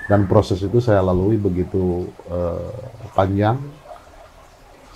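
Very deep, low male voice at a very slow pace, with fairly even intonation and noticeable background noise. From Indonesia, West Java (Cianjur). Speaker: local politician. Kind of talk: interview. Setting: at his home. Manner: halting, many fillers.

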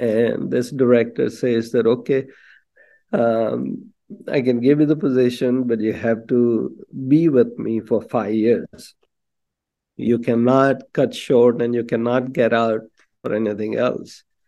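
Dark and mellow in tone, a man speaks at a medium pitch. His pace is fairly slow and his intonation fairly even. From India, Bombay. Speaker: physician, devotee. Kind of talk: personal testimony.

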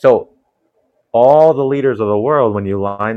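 Here is a man with an unremarkable speaking voice and an American accent. He keeps a moderate pace and lively intonation. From Ghana (Kasoa) and USA. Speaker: nurse and minister. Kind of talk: casual religious discussion.

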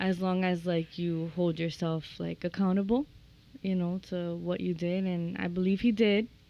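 A woman's fairly low voice with a dark, mellow tone, fairly even intonation and a moderate pace. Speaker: realtor and home builder. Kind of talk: casual chat.

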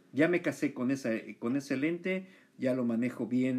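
A man's dark, mellow tone with a Mexican accent. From Mexico. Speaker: podcast host, photographer. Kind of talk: interview.

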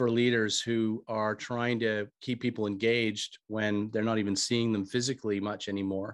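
With an American accent and fairly even intonation, a plain, everyday voice speaks at a moderate pace, the sound dry and close with no echo over a quiet background. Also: man. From United States. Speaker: author and former bank CEO. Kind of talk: interview, business talk.

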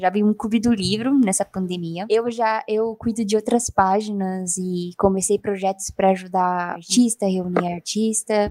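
Using a dark, mellow tone at a medium pitch, a woman talks with fairly even intonation and hardly any pauses, the sound dry and close with no echo. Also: moderate pace. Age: 20s. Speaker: podcast co-host and illustrator. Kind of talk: casual chat.

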